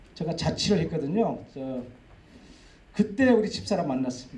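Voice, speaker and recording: In a room with audible echo, a man with a high voice speaks at a moderate pace. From Jeju, South Korea (Aewol, rural). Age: 50s. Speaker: agricultural cooperative executive, lecturer. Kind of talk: public lecture, personal life story. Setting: lecture hall with audience. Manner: conversational, with fillers.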